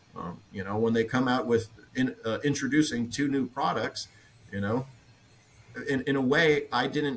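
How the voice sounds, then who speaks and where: A man's medium-pitched voice with long, frequent pauses over noticeable background noise. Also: ordinary pitch variation, moderate pace. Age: 20s. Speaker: fitness equipment company representative. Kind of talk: roundtable discussion.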